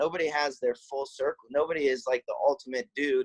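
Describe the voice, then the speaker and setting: A man with a fairly high pitch talks at a fairly quick pace with fairly even intonation, in a dry, close sound with no echo. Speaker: lacrosse coach and entrepreneur. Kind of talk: casual interview. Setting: call. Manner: loud; intense, passionate.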